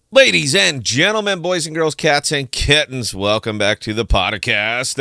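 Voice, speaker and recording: A man's put-on character voice, raised, projected and booming, medium in pitch with very wide pitch swings at a moderate pace. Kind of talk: showy announcer patter.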